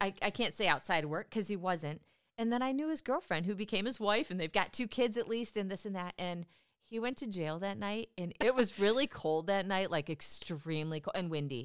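In a very clean recording with a silent background, a woman speaks in a plain, everyday voice at a moderate pace and medium pitch, her intonation lively. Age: 40s. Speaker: retail loss prevention worker. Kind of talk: casual chat.

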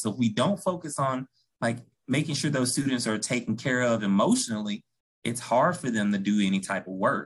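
A man with a Memphis accent at a moderate pace. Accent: Southern US (Memphis). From US South, Memphis, Tennessee. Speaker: school counselor. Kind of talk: interview podcast.

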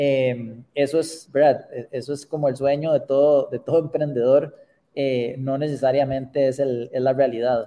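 A man's fairly high-pitched voice, dark and mellow in tone, flat and monotone, at a fairly slow pace. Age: 50s. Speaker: startup founder and CEO. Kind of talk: interview. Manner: halting, many repetitions.

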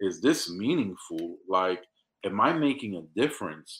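A man in a New York accent talks with a fairly low pitch. His tone is bright and sharp, over a quiet background. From New York City, South Bronx. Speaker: business owner. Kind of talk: casual interview.

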